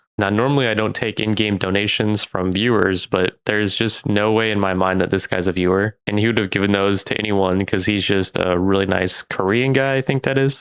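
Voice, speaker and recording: In a normal speaking voice, a man talks at a moderate pace with fairly low pitch, ordinary pitch variation, very even loudness and hardly any pauses. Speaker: gaming video creator. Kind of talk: gameplay commentary.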